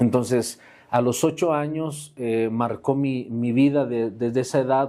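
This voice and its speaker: A man talks at a medium pitch with a dark, mellow tone. His intonation is fairly even and his pace fairly slow. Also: very clean recording, silent background. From Mexico, Saltillo, Coahuila. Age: 40s. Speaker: pastor. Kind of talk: testimony.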